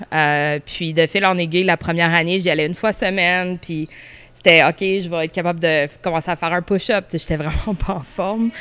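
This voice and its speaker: A woman speaks in a plain, everyday voice with a fairly low pitch. Her pace is moderate and her intonation fairly even. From Orléans, Ottawa, Ontario. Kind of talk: casual interview.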